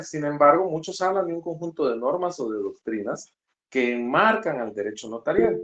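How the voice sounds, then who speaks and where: Speaking at a fairly quick pace, a man with a fairly high pitch makes very wide pitch swings. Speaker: law lecturer. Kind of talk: online lecture. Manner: fast.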